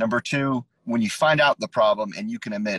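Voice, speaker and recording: A man speaks in an ordinary speaking voice at a medium pitch, with lively intonation. The sound is dry and close, with no echo. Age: 30s. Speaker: mental health advocate sharing his experience with OCD. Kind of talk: casual interview on a live stream. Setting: live stream video call.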